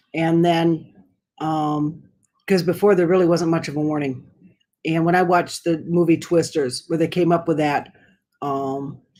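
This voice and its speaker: With music in the background, an American-accented woman speaks at a moderate pace in a fairly low, monotone, flat voice, leaving long, frequent pauses. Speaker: livestreamer. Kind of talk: casual chat. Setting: live stream. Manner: slurring.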